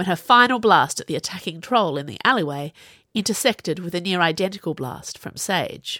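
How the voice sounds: A natural reading voice is heard, its intonation lively.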